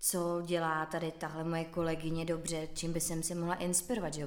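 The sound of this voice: Her voice sits low in pitch. The woman's pitch barely moves.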